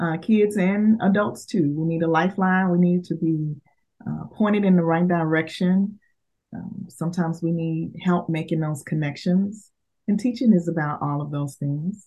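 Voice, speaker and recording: A woman talks in a normal speaking voice at a fairly low pitch and a moderate pace, with ordinary pitch variation. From Dallas, Texas. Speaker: teacher and education leader. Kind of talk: interview.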